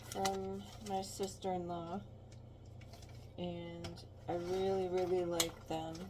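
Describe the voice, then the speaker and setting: A woman speaks at a very slow pace in a very deep, low pitch with very wide pitch swings. Audible room echo follows her words. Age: 60s. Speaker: home cooking vlogger. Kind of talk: casual cooking tutorial. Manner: halting, many fillers.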